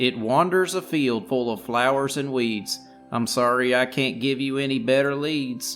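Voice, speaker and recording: In a put-on character voice, a man sing-songs at a medium pitch and moderate pace over clear music in the background. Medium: actual play. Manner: sing-song rhyming speech.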